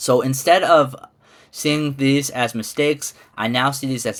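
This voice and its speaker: A man speaks with a Midwestern accent. His pitch is medium. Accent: American Midwest. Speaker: ESL teacher and graduate student. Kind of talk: class presentation. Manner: casual, hesitant with fillers.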